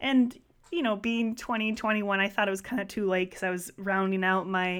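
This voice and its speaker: Moderate pace with monotone, flat intonation. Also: woman. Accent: American. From US Midwest, southeastern Wisconsin (Milwaukee area). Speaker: registered dietitian. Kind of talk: interview.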